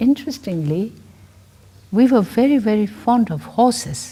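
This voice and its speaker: A somewhat breathy, fairly high female voice with very wide pitch swings and a fairly slow pace. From Tibet. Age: 70s. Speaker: director of a nonprofit for nuns. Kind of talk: interview. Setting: filmed interview with students. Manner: halting, with repetitions and fillers.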